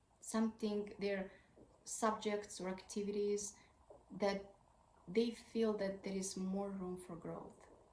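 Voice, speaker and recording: In a room with audible echo, a woman with a non-native accent speaks at medium pitch in a monotone, flat intonation, very slowly, with long, frequent pauses. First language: not English. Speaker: parenting advice creator. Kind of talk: tutorial.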